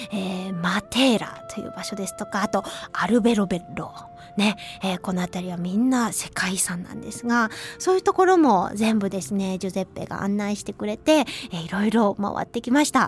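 Noticeable background noise sits behind a woman who speaks at a moderate pace with a medium pitch and ordinary pitch variation. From Hiroshima, western Japan. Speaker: radio host and traditional flute player. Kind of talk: casual radio talk. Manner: chatty, lively.

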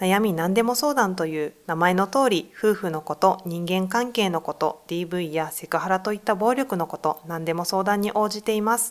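A woman's unremarkable speaking voice at medium pitch, a moderate pace and ordinary pitch variation, on a very clean recording with a silent background. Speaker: gender equality center staff. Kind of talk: interview. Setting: studio.

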